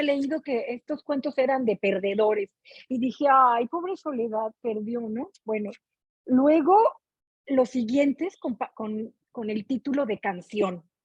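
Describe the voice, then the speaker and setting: Her intonation lively and her pitch high, a woman talks at a very slow pace. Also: dry, close sound with no echo. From Mexico. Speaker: book club participant. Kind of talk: casual chat. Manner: animated.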